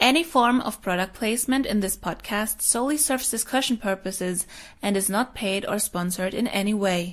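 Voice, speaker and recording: A woman with a German accent at a fairly quick pace, on a very clean recording with a silent background. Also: medium pitch for a woman, ordinary pitch variation. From Germany. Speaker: podcast host. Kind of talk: scripted intro.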